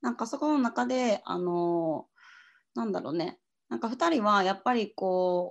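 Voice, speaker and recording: At a moderate pace and medium pitch, a woman speaks with very wide pitch swings against a quiet background. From Japan, Osaka. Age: 20s. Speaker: hostel worker and writer. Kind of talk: casual interview.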